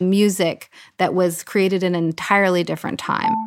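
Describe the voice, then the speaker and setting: A woman speaks at a moderate pace with a medium pitch, in a normal speaking voice and fairly even intonation. The recording is very clean, with a silent background. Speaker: composer and electronic musician. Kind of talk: interview.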